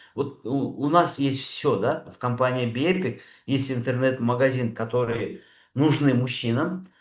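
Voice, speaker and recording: A man at medium pitch with ordinary pitch variation, big swings in loudness, fairly slow pace. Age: 60s. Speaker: doctor speaking at a network marketing training. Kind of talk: sales pitch. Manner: hesitant, many filler sounds.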